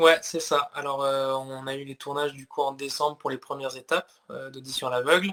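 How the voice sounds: Speaking at a fairly quick pace, a man with a medium pitch and a fairly bright tone keeps his intonation fairly even.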